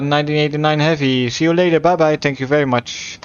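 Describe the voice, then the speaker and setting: A man speaks with a Dutch accent and fairly even intonation. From Netherlands. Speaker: flight sim streamer. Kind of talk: live gameplay stream with radio calls. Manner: halting, stumbles on words.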